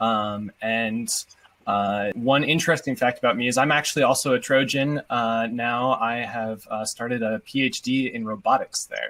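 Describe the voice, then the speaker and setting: A man with a plain, everyday voice speaks at a medium pitch with fairly even intonation. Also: moderate pace. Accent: American. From Washington state. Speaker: PhD student, cancer survivor. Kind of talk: panel introduction.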